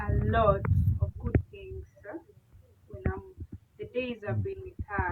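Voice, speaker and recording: A woman at a fairly slow pace, with long, frequent pauses, big swings in loudness and noticeable background noise. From Kenya. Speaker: village life vlogger. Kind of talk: casual chat.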